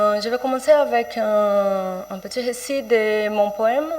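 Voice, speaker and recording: Speaking very slowly with a Portuguese accent, a woman talks at a medium pitch with ordinary pitch variation. Background noise is noticeable. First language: Portuguese (speaking French). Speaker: writer and poet. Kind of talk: panel presentation. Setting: round table with audience. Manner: halting, many hesitations.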